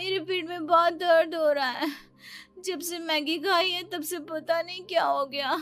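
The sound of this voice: With faint music behind her, a woman does a cartoonish character voice at an extremely high pitch, fairly bright in tone and fairly even in intonation, at a fairly slow pace.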